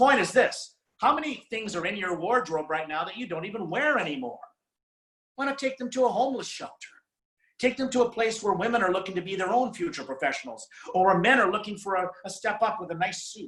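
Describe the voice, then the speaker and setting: With a Canadian accent, a man talks very fast in a high voice, his animated tone carried by lively intonation. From Saskatchewan, Canada. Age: 50s. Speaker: motivational speaker. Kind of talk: motivational talk. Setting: video call.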